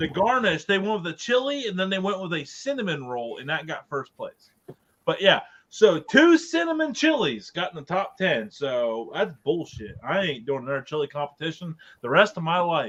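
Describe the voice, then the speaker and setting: Here a man speaks in an Ohio accent, high in pitch and animated in tone. His pitch swings very widely. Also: moderate pace. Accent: Ohio American. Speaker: podcast co-host. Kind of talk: casual chat.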